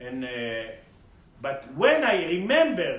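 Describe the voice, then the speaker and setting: Someone speaks in an Israeli accent, with audible room echo. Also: man. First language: Hebrew. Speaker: spiritual teacher and healer. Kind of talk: spiritual lecture. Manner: halting.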